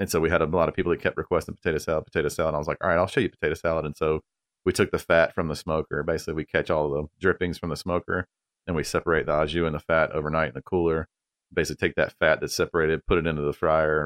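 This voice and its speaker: A man with a North Carolina accent talks at a very fast pace in a very deep, low pitch and a monotone, flat intonation, the sound dry and close with no echo over a quiet background. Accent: North Carolina Southern US. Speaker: barbecue restaurant owner. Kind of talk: casual interview.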